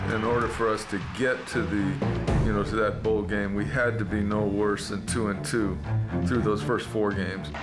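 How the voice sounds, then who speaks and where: With clear music in the background, a man speaks at a moderate pace. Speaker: football coach. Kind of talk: interview answer. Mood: calm, reflective. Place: office.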